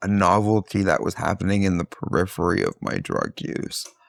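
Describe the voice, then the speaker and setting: A man speaks in an ordinary speaking voice, fairly low in pitch, with ordinary pitch variation at a moderate pace, the sound dry and close with no echo. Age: 40s. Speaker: grad student and podcast guest. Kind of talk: casual interview conversation.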